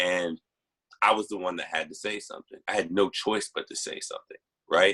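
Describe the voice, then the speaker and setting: A loud voice with an American accent, recorded dry and close with no echo. The pace is moderate. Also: man. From Texas. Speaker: panelist. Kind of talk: group discussion.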